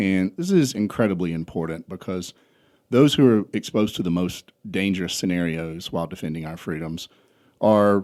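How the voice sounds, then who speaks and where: This man talks with a Southern US accent at a very deep, low pitch. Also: very clean recording, silent background. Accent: Southern US (South Georgia). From US South, South Georgia. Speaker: entrepreneur and trucking company founder. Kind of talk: podcast interview.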